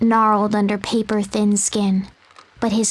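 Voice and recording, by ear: A natural voice reading aloud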